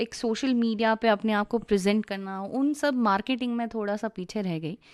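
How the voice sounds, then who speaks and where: A woman with an ordinary speaking voice talks at a moderate pace in a fairly high pitch. The background is quiet, and the sound is dry and close with no echo. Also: ordinary pitch variation. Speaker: voice-over and dubbing artist. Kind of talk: radio interview.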